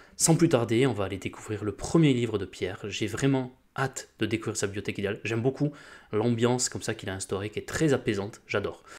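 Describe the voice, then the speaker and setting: Speaking very fast in a southwestern French accent, a man uses a medium pitch with ordinary pitch variation on a very clean recording with a silent background. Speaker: book YouTuber. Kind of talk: casual commentary.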